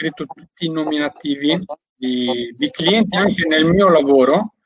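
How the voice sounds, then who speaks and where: Here a man speaks at a fairly high pitch. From Albanian heritage. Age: 20s. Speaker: network marketer and window fitter. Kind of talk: interview.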